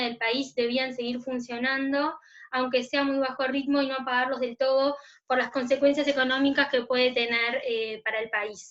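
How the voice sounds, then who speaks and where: A woman's high-pitched voice with monotone, flat intonation at a moderate pace. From Uruguay. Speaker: notary, commission coordinator. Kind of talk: virtual panel presentation.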